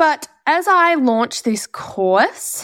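The speaker has an Australian accent and an animated tone. The recording is very clean, with a silent background. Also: woman. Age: 20s. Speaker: skin therapist and business coach podcaster. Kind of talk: solo podcast monologue. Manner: chatty, animated.

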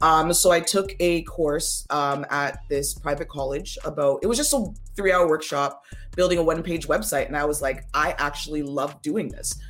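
This woman has a Toronto accent. She talks at a moderate pace. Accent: Canadian English, Toronto. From Canada, Toronto. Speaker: front-end web developer. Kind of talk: interview.

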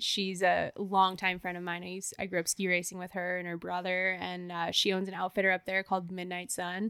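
A woman with a Canadian accent talks at a fairly quick pace in a bright, sharp tone, her medium pitch held to a monotone, flat intonation. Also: dry, close sound with no echo. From Canada, Banff, Alberta. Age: 30s. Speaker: professional skier. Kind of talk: casual chat. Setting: in person, Whistler.

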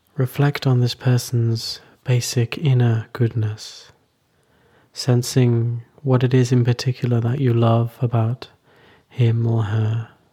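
Very slow and somewhat breathy, a man of medium pitch speaks in a gentle, calm, dark and mellow tone, his intonation monotone and flat and his loudness very even. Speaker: meditation teacher. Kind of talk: guided meditation. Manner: slow, calm, soothing; gentle, unhurried, with long pauses.

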